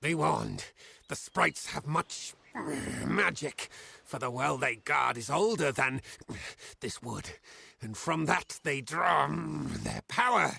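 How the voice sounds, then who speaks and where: A put-on character voice from a man, medium in pitch, at a fairly slow pace with long, frequent pauses. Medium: solo performance. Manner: broken, simple grammar.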